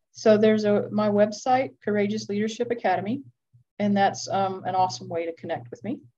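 A woman with an American accent speaks at a fairly quick pace in a dark, mellow, somewhat breathy voice of medium pitch, her intonation lively. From Georgia, US South. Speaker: clinical social worker and former firefighter. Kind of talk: interview conversation.

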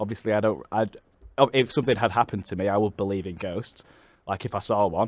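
A man with a Mancunian accent at a very fast pace, fairly low in pitch, with fairly even intonation and a dry, close sound with no echo. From Manchester, England. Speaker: podcast host. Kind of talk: casual chat.

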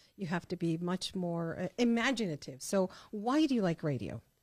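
At a moderate pace, a woman with an American accent speaks in a normal speaking voice with lively intonation. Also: dry, close sound with no echo, very clean recording, silent background. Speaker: podcast host. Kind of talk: casual interview chat. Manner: warm, upbeat.

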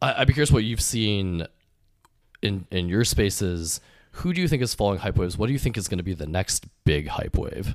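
With a plain, everyday voice, a man speaks at a fairly quick pace in a fairly low pitch with lively intonation, on a very clean recording with a silent background. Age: 20s. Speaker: podcast host, venture investor. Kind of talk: casual chat.

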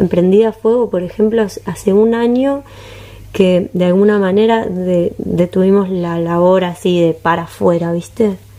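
Noticeable background noise fills the recording. A woman speaks fairly slowly. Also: medium pitch for a woman. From Uruguay, Montevideo. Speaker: rapper and singer. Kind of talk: casual interview chat.

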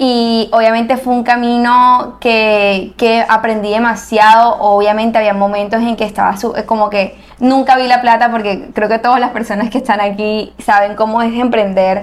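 A woman's fairly high voice in a flat monotone. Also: moderate pace. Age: 20s. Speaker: architect and entrepreneur. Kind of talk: interview.

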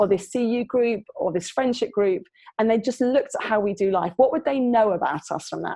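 A woman with a London accent, fairly high in pitch, with a dark, mellow tone and a moderate pace. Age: 40s. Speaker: youth worker and author. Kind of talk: interview.

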